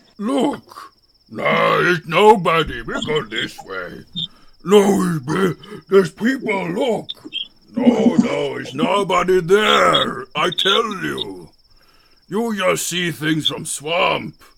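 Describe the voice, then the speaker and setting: Using a put-on character voice pitched high, a man speaks at a very slow pace with long, frequent pauses. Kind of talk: actual play tabletop session. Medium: actual play.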